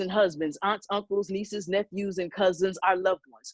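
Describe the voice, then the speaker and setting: The sound is dry and close, with no echo. A woman with an unremarkable speaking voice and a medium pitch speaks at a fairly quick pace. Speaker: spoken word poet. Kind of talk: spoken word poetry performance.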